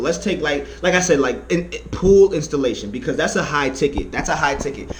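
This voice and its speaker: Amid audible room echo and noticeable background noise, a man talks in an animated tone. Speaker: vlogger giving money-making advice. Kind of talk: casual tutorial vlog. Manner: fast; animated, repetitive.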